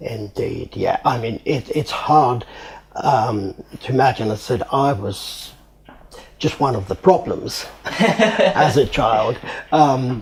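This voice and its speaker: Through noticeable background noise, a man speaks very slowly with lively intonation. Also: medium pitch for a man. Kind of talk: interview answer. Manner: hesitant.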